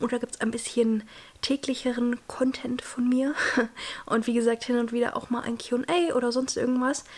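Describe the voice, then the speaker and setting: Noticeable background noise sits behind a woman with a high-pitched voice. She speaks at a moderate pace in a monotone, flat intonation. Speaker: vlogger, law student. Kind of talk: casual vlog. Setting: at home, desk. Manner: casual, chatty, English mixed in.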